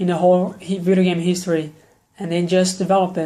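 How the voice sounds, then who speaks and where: The man's tone is dark and mellow. His pitch sits high. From Brazil. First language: Brazilian Portuguese. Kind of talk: casual talk to camera, game opinion video. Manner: nervous, hesitant.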